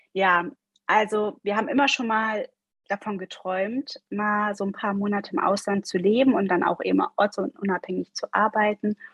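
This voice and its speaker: A somewhat breathy voice at a moderate pace, with ordinary pitch variation and a dry, close sound with no echo. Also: woman, medium pitch for a woman. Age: 40s. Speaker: life coach. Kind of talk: interview.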